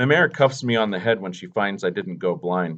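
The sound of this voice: Reading done in an unforced voice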